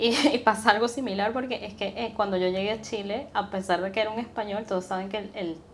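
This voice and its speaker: A woman talks at a very fast pace with a medium pitch and fairly even intonation. There is noticeable background noise. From Venezuela. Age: young. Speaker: podcast guest, entrepreneur. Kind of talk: interview conversation.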